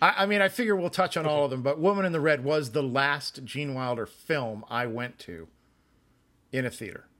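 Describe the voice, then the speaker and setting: With an unremarkable speaking voice, a man talks at a fairly quick pace with lively intonation in a very clean recording with a silent background. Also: fairly high pitch for a man. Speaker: film podcast co-host. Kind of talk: casual chat.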